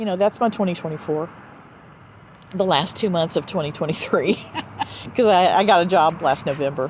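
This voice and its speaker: Noticeable background noise surrounds a woman with a Southern US accent and a fairly low pitch. She talks at a fairly quick pace with ordinary pitch variation and long, frequent pauses. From US South. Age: 60s. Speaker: podcast host. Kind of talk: casual chat. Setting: outdoors.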